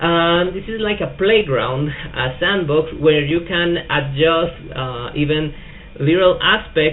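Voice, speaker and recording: A man speaks at a very slow pace in a high pitch, with a Spanish accent. Noticeable background noise runs behind him. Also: ordinary pitch variation. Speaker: tech youtuber. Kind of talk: tutorial. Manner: hesitant, many fillers.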